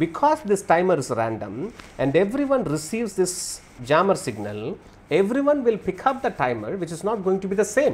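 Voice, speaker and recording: Speaking at a moderate pace, a man with a high-pitched voice makes very wide pitch swings. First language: Tamil. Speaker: networking instructor. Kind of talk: lecture. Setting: video call.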